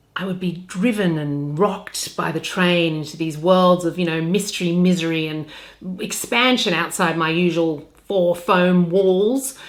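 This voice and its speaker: Speaking with an Australian accent, a woman uses a fairly low pitch with ordinary pitch variation. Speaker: voice-over artist and audiobook narrator. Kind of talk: humorous talk about her work.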